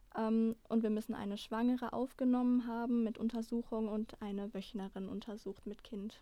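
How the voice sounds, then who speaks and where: A woman with a fairly high pitch and a dark, mellow tone, flat monotone delivery at a moderate pace, hardly any pauses. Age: 20s. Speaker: trainee midwife. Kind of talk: interview.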